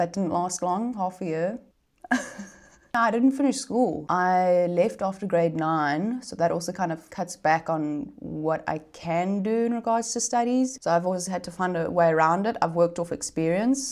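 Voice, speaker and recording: In a South African accent, a woman with a medium pitch and lively intonation speaks at a moderate pace on a very clean recording with a silent background. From South Africa, Gauteng. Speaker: content creator. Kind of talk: casual Q&A vlog. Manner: animated.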